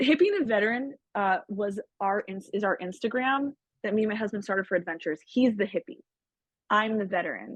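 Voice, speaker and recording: A woman with a normal speaking voice and an American accent, fairly high in pitch with ordinary pitch variation, at a fairly quick pace, in a dry, close sound with no echo. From Southern California. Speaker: army medic veteran, foundation director. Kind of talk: guest talk with Q&A.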